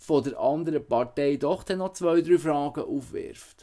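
The background is quiet here. A man's speech moves very slowly. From Switzerland, Emmental (Canton Bern); Canton Bern, Switzerland. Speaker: musician and political candidate. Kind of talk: campaign statement. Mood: earnest, persuasive. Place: home room. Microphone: webcam.

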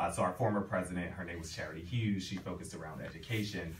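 In a Philadelphia accent, a man with a very deep, low voice talks very fast with ordinary pitch variation, over light background noise and audible room echo. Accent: Philadelphia American English. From Philadelphia (North Philly). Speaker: HR professional and professor. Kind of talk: radio interview. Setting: radio studio. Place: studio.

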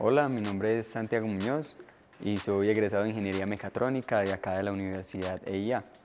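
Faint music plays while a man speaks at a fairly quick pace. His voice is fairly low, with ordinary pitch variation. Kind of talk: book recommendation to camera. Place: hall.

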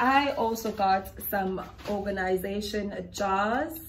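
A woman's somewhat breathy voice with ordinary pitch variation, over light background noise. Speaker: home vlogger. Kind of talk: casual vlog chat. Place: kitchen. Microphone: phone near.

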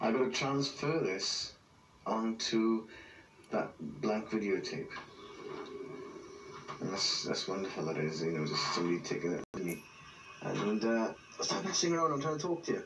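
Over light background noise, a man speaks with a Welsh accent at a moderate pace. His pitch swings very wide, and he takes long, frequent pauses. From South Wales. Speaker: grandfather. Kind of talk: casual home video talk. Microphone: old recording.

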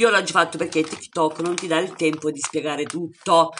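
The speaker talks at a fairly quick pace against light background noise. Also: woman. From Salento, southern Italy (Lecce); Italy. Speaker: home cook video creator. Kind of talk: casual chat to viewers; cooking tutorial. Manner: animated. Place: kitchen. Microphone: phone near.

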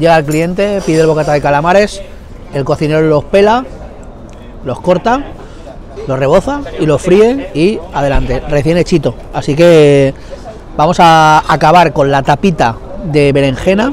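Light background noise and a dry sound with no echo frame a man talking at a moderate pace with ordinary pitch variation. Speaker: food vlogger. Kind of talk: casual food review vlog. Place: street. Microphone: lapel.

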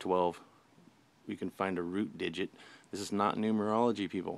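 Moderate pace, dry sound with no echo, and light background noise. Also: man. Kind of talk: tutorial. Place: home room. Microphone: phone near.

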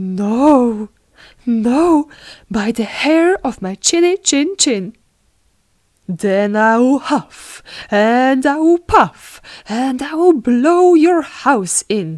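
At a very slow pace with long, frequent pauses, the voice takes a gentle, playful tone and very wide pitch swings in a dry, close sound with no echo. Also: woman, high pitch for a woman. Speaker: audiobook narrator. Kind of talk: bedtime story narration, reading a classic fairy tale aloud to children. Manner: gentle, storytelling pace with playful character voices for the wolf and pigs.

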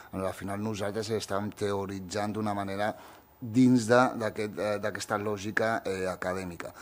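The speech is fairly slow, with a monotone, flat intonation. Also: man, fairly low pitch for a man. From Catalonia (born in Morocco, arrived as a baby). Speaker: writer and youth centre director; speaker. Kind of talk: panel discussion. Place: hall. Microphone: podium.

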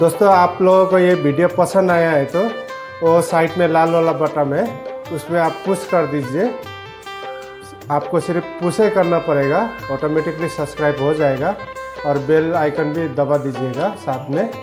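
Clear music plays in the background. A man speaks at a fairly slow pace with ordinary pitch variation. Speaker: vlogger reviewing a mic. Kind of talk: casual vlog chat. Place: home room. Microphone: lapel.

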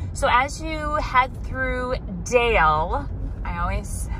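At a very slow pace, a woman speaks in a dry sound with no echo. Light background noise can be heard. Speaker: vlogger heading to a barn sale. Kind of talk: casual vlog chat. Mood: excited, a bit anxious. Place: car. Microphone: phone near.

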